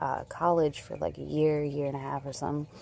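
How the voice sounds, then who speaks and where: With a slight Chicago accent, a woman speaks in a very deep, low pitch and a dark, mellow tone. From Chicago area. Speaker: crochet vlogger. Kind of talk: casual chat. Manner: animated.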